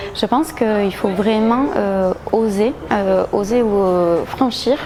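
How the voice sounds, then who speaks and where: Noticeable noise sits in the background. The delivery moves very slowly. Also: woman. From southwest France, Agen. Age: 30s. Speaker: gym member, lawyer. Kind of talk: testimonial interview. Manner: hesitant, many fillers.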